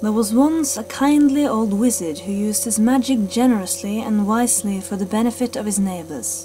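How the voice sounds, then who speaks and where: Over music in the background, a woman speaks at a moderate pace with a fairly high pitch and lively intonation. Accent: Norwegian. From Norway. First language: Norwegian. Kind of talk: read story. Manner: slight stutters.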